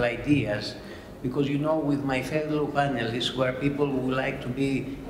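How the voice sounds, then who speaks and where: A man speaks against noticeable background noise. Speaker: panel moderator. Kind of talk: conference opening remarks. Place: hall. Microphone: podium.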